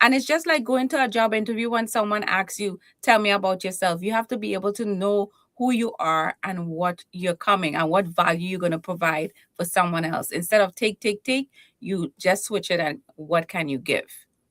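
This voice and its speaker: Speaking with a Trinidadian accent, this voice has an animated tone and lively intonation at a moderate pace. The recording sounds dry and close, with no echo. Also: woman, medium pitch for a woman. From Trinidad and Tobago. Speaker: keynote speaker and confidence coach. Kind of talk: interview.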